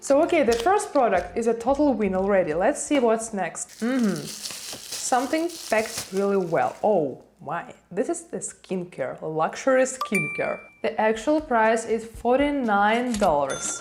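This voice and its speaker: A non-native accent with very wide pitch swings, a fairly slow pace and noticeable background noise. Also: woman, fairly high pitch for a woman. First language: not English. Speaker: beauty content creator. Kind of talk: unboxing review.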